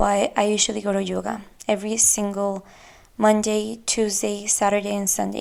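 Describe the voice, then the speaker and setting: A woman speaks with a Spanish accent. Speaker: podcast host. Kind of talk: casual monologue.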